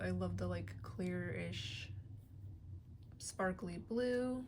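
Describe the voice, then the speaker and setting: A woman with an American accent at a very slow pace, amid audible room echo. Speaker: vlogger. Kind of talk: casual show-and-tell chat. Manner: hesitant with fillers.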